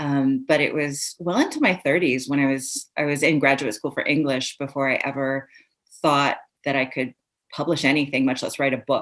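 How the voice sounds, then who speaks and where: A woman with a very deep, low pitch speaks in an American accent. Her intonation is monotone and flat, at a moderate pace. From Iran, raised in the US from age five. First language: Persian. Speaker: author. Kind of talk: interview. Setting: live recorded podcast.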